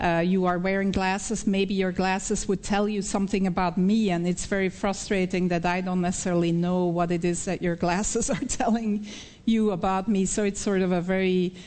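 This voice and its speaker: A woman speaks with a Belgian accent at a fairly quick pace, with hardly any pauses and very even loudness. Her medium-pitched voice has a monotone, flat intonation, and audible room echo surrounds it. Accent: Belgian accent, still noticeable. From Belgium (Flemish). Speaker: professor, researcher. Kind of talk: conference Q&A. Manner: halting with frequent fillers.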